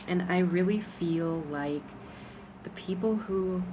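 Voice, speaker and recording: Amid noticeable background noise and audible room echo, a woman with an American accent speaks at a medium pitch with ordinary pitch variation. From Arizona. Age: 40s. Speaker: crystal vlogger. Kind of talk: casual tutorial. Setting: outdoors on balcony.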